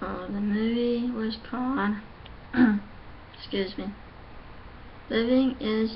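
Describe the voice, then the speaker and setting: A woman speaks with fairly even intonation, and audible room echo can be heard. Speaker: vlogger. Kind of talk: casual vlog monologue. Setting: at home. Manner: halting.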